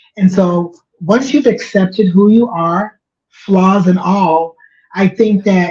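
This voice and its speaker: A woman talks at a fairly slow pace with a medium pitch and ordinary pitch variation. Her voice is somewhat breathy, with a dark, mellow tone. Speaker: organizational change agent and writer. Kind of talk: casual chat.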